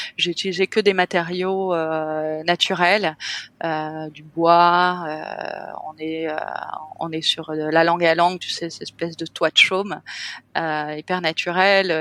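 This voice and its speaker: In a bright, sharp tone, a woman speaks very slowly with a fairly low pitch and monotone, flat intonation. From France, Cannes (French Riviera). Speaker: hotel owner, entrepreneur. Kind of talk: podcast interview. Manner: hesitant, many fillers.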